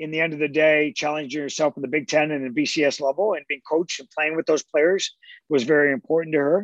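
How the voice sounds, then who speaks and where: In a plain, everyday voice, a man speaks at a fairly high pitch and a fairly quick pace, with a dry, close sound and no echo. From Canada, London, Ontario. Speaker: college soccer coach. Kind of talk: casual interview.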